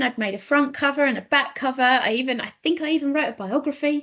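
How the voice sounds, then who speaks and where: Over noticeable background noise, a woman with an English accent talks at a fairly quick pace and a high pitch, with ordinary pitch variation. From southeast England, Kent. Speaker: children's author. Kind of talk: casual talk to children online. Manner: hesitant, many ums.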